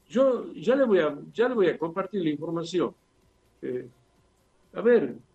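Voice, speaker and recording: Over music in the background, the speaker goes at a fairly slow pace with long, frequent pauses and very wide pitch swings. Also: man, high pitch for a man. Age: 70s. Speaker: father of a murder victim, justice activist. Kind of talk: interview testimony.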